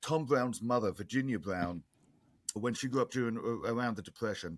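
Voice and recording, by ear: A man with an English accent talks at a medium pitch. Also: ordinary pitch variation, moderate pace.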